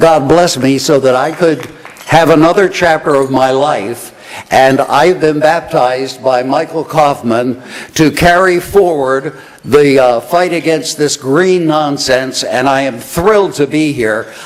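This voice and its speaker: Over noticeable background noise, a man talks fairly slowly at a fairly high pitch with ordinary pitch variation. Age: 70s. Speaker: radio talk show host, conference emcee. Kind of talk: conference emcee remarks. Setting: stage with audience at dinner event.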